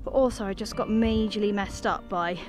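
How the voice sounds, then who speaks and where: Clear music plays behind a woman who speaks at a fairly quick pace, the sound dry with no echo. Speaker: nature vlogger. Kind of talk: casual vlog chat. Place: open country. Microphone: phone near.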